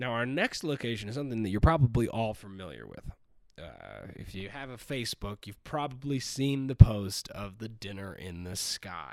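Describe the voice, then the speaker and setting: A man with an ordinary speaking voice, medium pitch, moderate pace and big swings in loudness, in a very clean recording with a silent background. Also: lively intonation. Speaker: podcast host. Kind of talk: casual chat. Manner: profane, joking.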